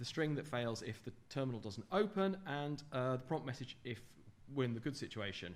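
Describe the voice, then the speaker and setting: A man at medium pitch, speaking at a fairly quick pace, with audible room echo. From England, London. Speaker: software developer giving a conference talk. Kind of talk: technical conference talk. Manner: fast.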